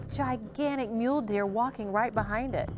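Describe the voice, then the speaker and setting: A woman's voice, with ordinary rises and falls in pitch, comes through over clear background music. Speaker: show host. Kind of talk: interview storytelling. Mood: amused, laughing. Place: studio.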